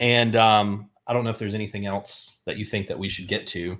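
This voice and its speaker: A man speaks with a plain, everyday voice at a medium pitch and a fairly quick pace. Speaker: podcast host. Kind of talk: casual chat.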